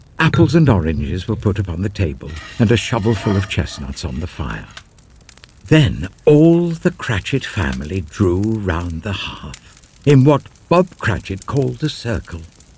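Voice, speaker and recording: A man's fairly low voice with very wide pitch swings, against noticeable background noise. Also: fairly slow pace. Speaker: narrator. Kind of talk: classic ghost story reading. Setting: studio.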